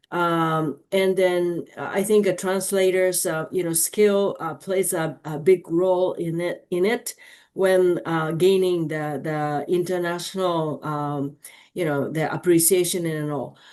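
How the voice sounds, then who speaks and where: A woman speaks with a Japanese accent at a fairly slow pace. Her pitch is fairly low. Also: fairly even intonation, quiet background. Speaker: audience member asking a question. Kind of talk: Q&A after a lecture. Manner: halting, many fillers.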